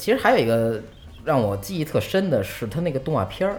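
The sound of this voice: The speech moves at a fast pace. The pitch swings widely. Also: man, medium pitch for a man.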